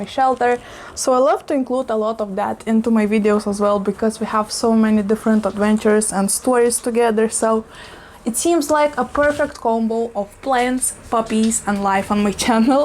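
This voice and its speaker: Someone talks at a moderate pace with noticeable background noise behind them. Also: woman. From Eastern Europe. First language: not English. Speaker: plant YouTuber. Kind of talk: casual vlog talk. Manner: animated.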